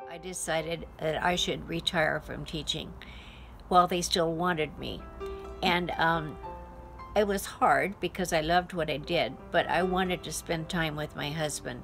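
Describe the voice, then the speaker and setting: A woman speaks at a moderate pace with an American accent. Music plays in the background. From Washington State, US. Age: 90s. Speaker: retired music teacher. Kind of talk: life story testimony.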